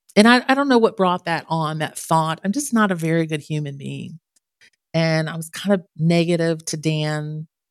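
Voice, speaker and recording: Her pitch sits very deep and low for a woman. She talks in an American accent at a moderate pace. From Ohio, US (Canton). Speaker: musician and suicide survivor. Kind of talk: interview testimony.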